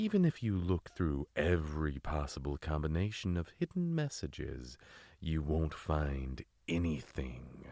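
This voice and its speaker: At a moderate pace, a man performs a put-on character voice with a very deep, low pitch in a very clean recording with a silent background. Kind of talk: parody horror narration. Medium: read story. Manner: pompous, theatrical.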